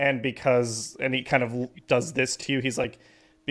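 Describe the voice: What we hear is plain reading aloud.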